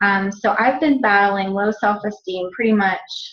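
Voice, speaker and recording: A woman with a somewhat breathy voice speaks at a fairly slow pace with fairly even intonation. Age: 40s. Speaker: fitness coach. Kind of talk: webinar presentation. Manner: hesitant, many fillers.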